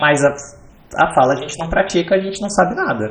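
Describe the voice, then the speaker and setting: Noticeable background noise sits behind a man speaking at a fairly quick pace. His voice is high, with lively intonation. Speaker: backend developer. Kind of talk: podcast interview.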